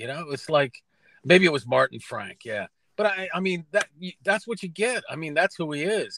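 The loudness rises and falls in big swings, and the tone is bright and sharp. The sound is dry with no echo, over light background noise. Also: man, high pitch for a man, moderate pace. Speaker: guest sports reporter. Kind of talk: interview answer. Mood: relaxed, amused. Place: car.

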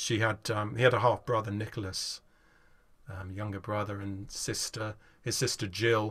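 A man at a moderate pace, bright and sharp in tone, over a quiet background. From England. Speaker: folk guitarist. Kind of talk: casual chat. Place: home room.

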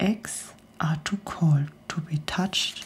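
Soft-spoken and somewhat breathy delivery. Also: woman. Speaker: storyteller. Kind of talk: reading aloud a rhyming story. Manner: soft-spoken ASMR storytelling, very quiet. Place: studio. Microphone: studio mic.

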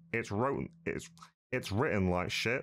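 A man is talking. His accent is British. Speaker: YouTuber reacting to a video. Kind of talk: informal slang. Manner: blunt, sweary, casual. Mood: angry, contemptuous.

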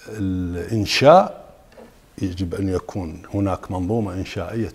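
A man with an Iraqi accent, very deep and low in pitch, at a fairly slow pace with fairly even intonation, over light background noise. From Iraq, Suwayra (Wasit). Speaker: architect and professor; guest. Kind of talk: interview. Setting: studio. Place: studio. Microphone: lapel.

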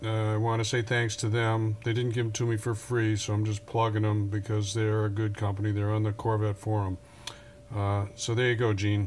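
Over light background noise, a man with a fairly low pitch speaks at a moderate pace in a monotone, flat delivery. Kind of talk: tutorial. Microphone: phone near.

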